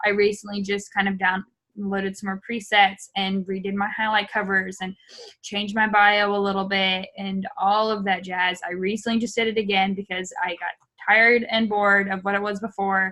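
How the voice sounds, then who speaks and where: A woman speaks at a medium pitch in a bright, sharp tone. Her intonation is monotone and flat. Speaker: social media trainer for a business team. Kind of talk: online training session. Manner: fast; casual, filler-heavy.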